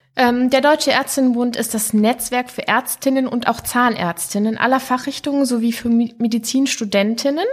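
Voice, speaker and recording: A woman with a high pitch speaks at a moderate pace in fairly even intonation, with hardly any pauses. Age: 40s. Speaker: pediatric surgeon. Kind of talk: interview. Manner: formal.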